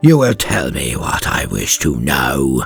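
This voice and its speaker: A man's put-on character voice, growling and very deep in pitch, at a fairly slow pace over faint background music. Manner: snarling, menacing.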